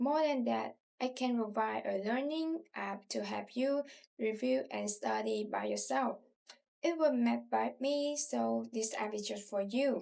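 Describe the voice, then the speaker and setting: A woman with a Southern Vietnamese accent talks at a fairly slow pace. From southern Vietnam, Ho Chi Minh City. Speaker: language tutor. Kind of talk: self-introduction.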